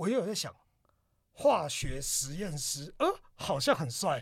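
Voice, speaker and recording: A man with a somewhat breathy voice talks at a moderate pace, with very wide pitch swings. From Taiwan, Taipei. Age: 30s. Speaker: podcast co-host, designer. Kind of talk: casual chat.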